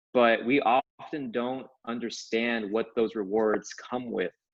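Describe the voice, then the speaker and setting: Fairly even in intonation, this is an unremarkable speaking voice. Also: man. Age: 20s. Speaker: author and brain coach. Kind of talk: interview.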